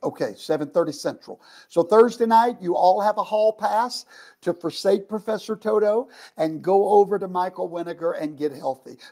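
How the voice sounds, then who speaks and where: A man's high, dark, mellow voice at a moderate pace, with ordinary pitch variation. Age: 50s. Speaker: pastor and online show host. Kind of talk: livestream interview and sign-off.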